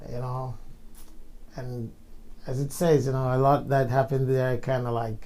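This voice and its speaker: A man with a Jamaican accent speaks at a medium pitch in a dark, mellow tone with monotone, flat intonation. He leaves long, frequent pauses, and room echo is audible. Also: moderate pace. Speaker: insurance sales supervisor. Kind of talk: casual interview.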